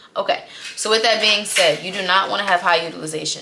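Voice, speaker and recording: Noticeable noise sits behind a woman who talks very quickly. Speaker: credit and finance educator. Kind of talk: tutorial. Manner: fast; animated.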